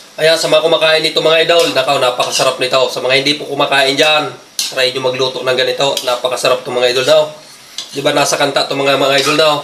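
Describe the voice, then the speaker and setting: This man talks at a very fast pace in a fairly high pitch. Noticeable background noise sits behind him. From Bicol, Philippines. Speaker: cooking vlogger. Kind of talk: cooking tutorial. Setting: home kitchen. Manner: animated.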